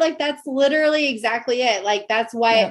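A woman talks at a high pitch and a moderate pace. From Tennessee. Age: 20s. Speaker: podcast host. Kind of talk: casual chat.

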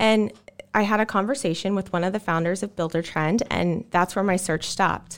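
Fairly quick speech in a normal speaking voice with ordinary pitch variation. The recording is very clean, with a silent background. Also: woman. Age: 30s. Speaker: marketing director. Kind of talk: casual chat.

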